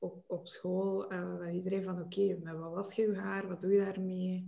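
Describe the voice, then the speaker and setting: A woman's flat, monotone delivery at medium pitch, very slow throughout. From Kazakhstan and Russia, then Belgium from age 13. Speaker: beauty brand founder. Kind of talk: casual interview.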